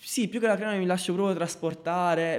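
The speaker is a man. His pace is very fast. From southern Italy, Basilicata (Marconia). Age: 20s. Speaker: video producer. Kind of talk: casual interview.

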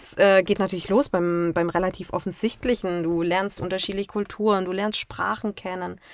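The speaker uses a plain, everyday voice with fairly even intonation, a moderate pace, hardly any pauses, and big swings in loudness. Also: woman, medium pitch for a woman. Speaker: travel blogger. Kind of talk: interview.

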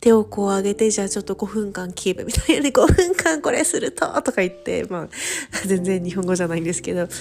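At a fairly quick pace, a woman with a medium pitch speaks in an animated tone. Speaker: podcast host, study-abroad coordinator. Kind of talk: casual monologue.

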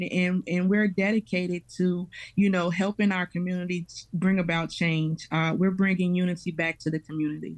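A woman's fairly low, monotone voice at a moderate pace on a very clean recording with a silent background. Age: 30s. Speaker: parish parent coordinator. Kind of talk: radio interview.

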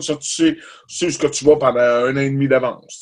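A man talking at a moderate pace. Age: 50s. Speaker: musician. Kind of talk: casual chat. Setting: home studio.

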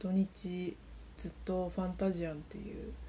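A woman whispers quietly. Her words come out as mumbling. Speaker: solo podcaster. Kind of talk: casual monologue. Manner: mumbling, whispery and quiet; subdued, not bright or crisp.

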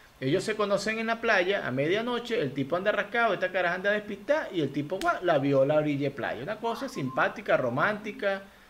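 Very fast, lively speech with a Venezuelan accent, hardly any pauses and noticeable background noise. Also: man, high pitch for a man. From Venezuela, Lara state. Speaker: comedian and podcast host. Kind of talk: casual chat. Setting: video call.

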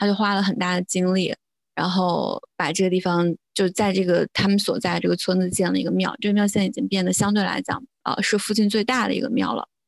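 A woman with an ordinary speaking voice talks at a medium pitch and a fairly quick pace. Her intonation is fairly even, her loudness very even, and the sound dry and close with no echo. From rural China. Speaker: religious studies graduate student. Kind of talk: casual chat.

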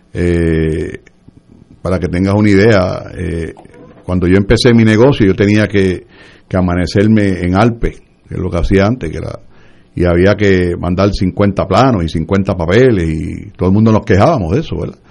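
This man has a very deep, low pitch and speaks at a moderate pace with ordinary pitch variation. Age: 60s. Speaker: government agency head. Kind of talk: radio interview.

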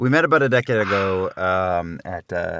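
In an American accent, a man speaks with a very deep, low pitch and a playful tone. His tone is bright and sharp, and the sound is dry and close with no echo. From New Jersey. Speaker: voiceover actor and director, podcast host. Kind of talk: casual chat, comedic banter. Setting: studio. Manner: joking, playful.

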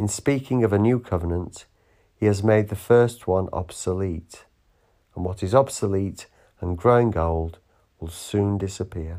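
Speaking with a normal speaking voice, a man uses a fairly low pitch, ordinary pitch variation and a fairly slow pace. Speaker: church service leader. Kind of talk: morning prayer service, liturgical reading and fervent prayer. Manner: solemn, measured, reverent; fervent, heartfelt, devotional.

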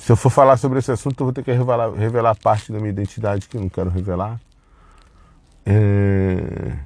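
This man has a normal speaking voice, pitched fairly low, with ordinary pitch variation. He talks at a fairly quick pace. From Brazil. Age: middle-aged. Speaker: podcaster. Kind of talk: personal monologue. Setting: in a car. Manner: casual, rambling with fillers.

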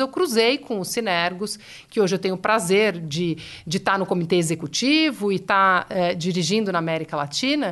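Her medium-pitched voice swings very widely in pitch as this woman speaks. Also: quiet background. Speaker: philanthropy director. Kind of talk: interview. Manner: halting.

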